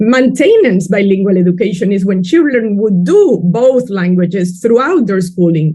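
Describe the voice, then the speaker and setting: With a Spanish accent, a woman speaks at medium pitch and a moderate pace, her dark, mellow tone somewhat breathy and her intonation lively. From Peru. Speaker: education researcher. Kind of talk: webinar panel talk.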